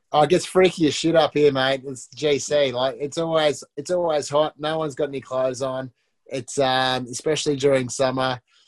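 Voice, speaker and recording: Fairly even intonation at a moderate pace. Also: man, fairly high pitch for a man. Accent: Australian. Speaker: reality TV contestant. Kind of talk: casual chat. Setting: video call.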